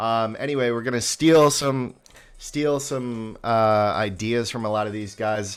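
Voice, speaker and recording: In a very clean recording with a silent background, a man with a medium pitch speaks at a fairly slow pace with ordinary pitch variation. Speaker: livestreamer. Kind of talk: casual livestream talk. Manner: halting, many fillers.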